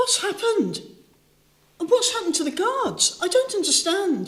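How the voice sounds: A woman puts on a character voice at an extremely high pitch, swinging very widely in pitch at a fairly slow pace.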